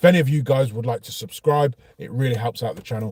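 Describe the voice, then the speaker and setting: A somewhat breathy man with a Brummie accent, dark and mellow in tone, at a fairly quick pace and fairly even intonation. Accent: Birmingham (Brummie). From Birmingham, England. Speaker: car vlogger. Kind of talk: casual vlog monologue. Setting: outdoors near petrol station. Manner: hesitant, many fillers.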